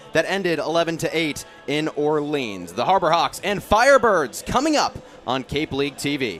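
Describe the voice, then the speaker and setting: A man talks at a moderate pace, his intonation lively, while music plays behind him. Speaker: sports broadcaster. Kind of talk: sports broadcast on-camera intro.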